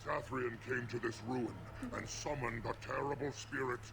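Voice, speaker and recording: A man puts on a character voice at a medium pitch and a moderate pace. Loud background noise runs underneath. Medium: video game.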